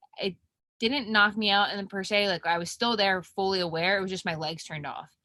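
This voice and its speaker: A woman's bright, sharp, medium-pitched voice with a Philadelphia accent, ordinary pitch variation and a fairly quick pace. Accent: Philly. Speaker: professional mixed martial artist. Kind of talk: interview.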